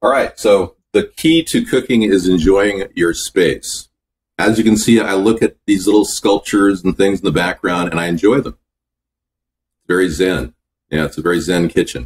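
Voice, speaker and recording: A man with a fairly low pitch at a moderate pace. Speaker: home cook vlogger. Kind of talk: casual vlog chat. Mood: relaxed, upbeat. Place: kitchen. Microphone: webcam.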